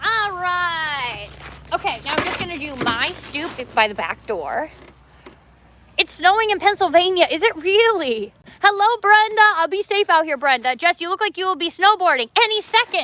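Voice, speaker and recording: In a Canadian accent, a woman projects a raised, extremely high voice at a moderate pace, her tone animated and her pitch swinging very widely. Noticeable background noise runs behind her. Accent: Canadian, compared to Minnesotan. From Canada. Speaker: coffee shop owner and livestreamer. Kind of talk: casual livestream chat. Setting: outdoors.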